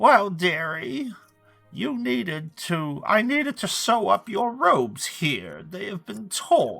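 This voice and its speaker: Someone uses a put-on character voice at a middle pitch. Faint music plays in the background. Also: fairly slow pace. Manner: sweet, fussing, motherly.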